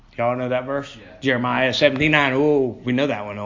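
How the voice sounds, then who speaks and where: Audible room echo surrounds a man speaking at a fairly quick pace. His pitch is medium and his intonation fairly even. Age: 50s. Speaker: lay preacher at a Bible study. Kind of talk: sermon.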